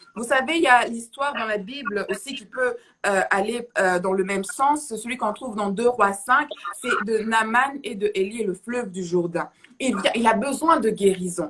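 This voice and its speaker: Over noticeable background noise, a woman speaks at a fairly high pitch. Her intonation is lively and her pace moderate. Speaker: preacher. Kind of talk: sermon. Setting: livestream. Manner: halting.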